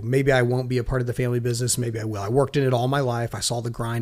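In a very clean recording with a silent background, a man with an unremarkable speaking voice talks fairly quickly at a medium pitch. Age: 40s. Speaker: business owner. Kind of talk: casual chat.

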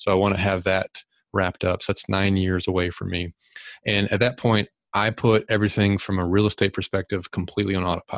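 A man speaks very fast in a flat monotone, recorded very cleanly against silence with a dry, close sound and no echo. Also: fairly low pitch for a man. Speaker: real estate investor and author. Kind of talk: interview.

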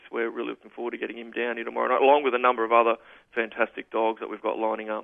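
With an Australian accent, a man speaks at a medium pitch in monotone, flat intonation. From far north Queensland, Australia. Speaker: racing club manager. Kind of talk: radio interview.

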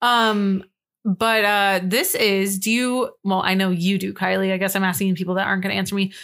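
Her intonation monotone and flat, a woman speaks at a very even loudness. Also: medium pitch for a woman. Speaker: podcast co-host. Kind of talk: casual chat; reading aloud. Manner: fast.

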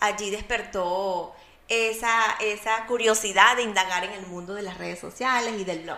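A woman at a medium pitch, fairly slow and with fairly even intonation, amid audible room echo. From Venezuela, Barquisimeto. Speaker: mom blogger and entrepreneur. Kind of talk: casual interview chat.

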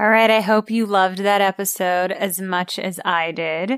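A woman with an American accent speaks at a moderate pace in a plain, everyday voice with fairly even intonation, the very clean recording dry and close with no echo and a silent background. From New York City. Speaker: podcast host and actress. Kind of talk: interview; scripted narration.

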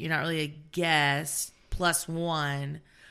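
The woman's voice is fairly low in pitch with a bright, sharp tone, captured in a very clean recording against a silent background. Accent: American. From US South. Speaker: teacher. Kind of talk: casual chat.

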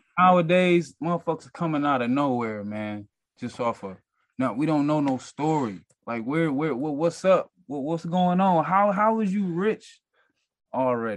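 A man's plain, everyday voice with an American accent, fairly high in pitch, lively in intonation, at a moderate pace against a quiet background. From Detroit. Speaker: rapper. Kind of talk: casual interview.

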